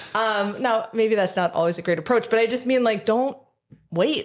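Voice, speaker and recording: A woman talks at a fairly quick pace with an American accent and ordinary pitch variation. Hers is an ordinary speaking voice. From Michigan. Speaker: small business founder. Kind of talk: casual interview chat. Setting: studio.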